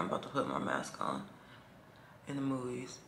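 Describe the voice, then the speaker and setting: A woman's fairly quick speech with audible room echo. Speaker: vlogger. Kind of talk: casual vlog talk to camera.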